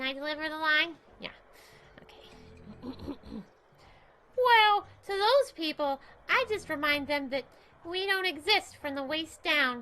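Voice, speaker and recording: A put-on character voice moves at a fairly slow pace. Long pauses come often. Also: woman, extremely high pitch for a woman. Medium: game stream. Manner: sassy, energetic, comic.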